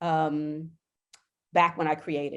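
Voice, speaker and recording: Over a quiet background, a woman speaks in a very deep, low voice. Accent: American. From Pittsburgh, Pennsylvania, US. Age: 60s. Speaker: artist. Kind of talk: interview conversation. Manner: halting, many fillers.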